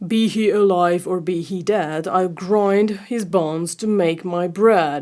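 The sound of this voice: A female-sounding, booming, put-on character voice at a middle pitch moves at a fairly slow pace with hardly any pauses.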